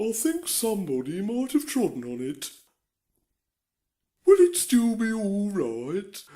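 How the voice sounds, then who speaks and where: A cartoonish character voice at a fairly high pitch, with very wide pitch swings, a fairly slow pace and long, frequent pauses. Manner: slow, dozy.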